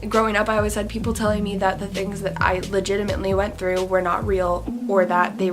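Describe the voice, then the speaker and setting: A woman talks at a medium pitch while noticeable background noise carries on behind her. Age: young. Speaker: singer-songwriter. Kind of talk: casual talk to camera.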